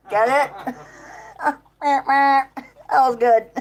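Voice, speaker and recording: With ordinary pitch variation, a woman speaks in a high voice. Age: 50s. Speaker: farmer and livestreamer. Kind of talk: casual chat.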